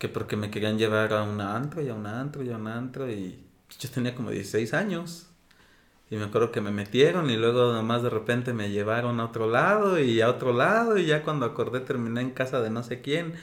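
A male speaker uses an ordinary speaking voice, keeping to a medium pitch with ordinary pitch variation while moving at a fairly quick pace. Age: 30s. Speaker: interview guest. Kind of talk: casual conversation.

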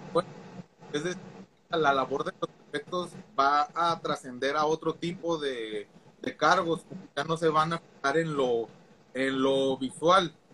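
At a fairly slow pace, a man talks with fairly even intonation and a fairly high pitch. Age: 30s. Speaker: teacher. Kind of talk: casual chat.

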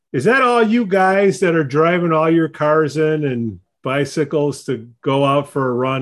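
In a plain, everyday voice, a man speaks fairly slowly and fairly high, with hardly any pauses against a quiet background. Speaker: podcast host. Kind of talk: casual interview chat. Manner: jokey, informal.

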